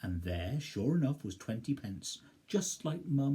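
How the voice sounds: The voice reads in a natural manner.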